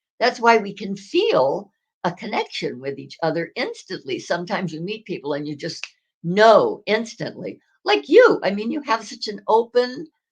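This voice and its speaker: With a fairly high pitch and vocal fry, a woman speaks at a moderate pace. Her pitch swings very widely, and her loudness swings a lot too. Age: 90s. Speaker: retired actress and author. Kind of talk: interview. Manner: halting.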